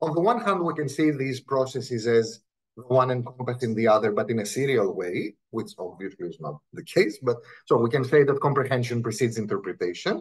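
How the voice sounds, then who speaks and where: A man with a non-native accent speaks at a fairly quick pace. His voice is somewhat breathy, at a medium pitch. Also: lively intonation. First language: Greek. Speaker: linguistics professor. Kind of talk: academic talk. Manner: conversational, with frequent repetitions.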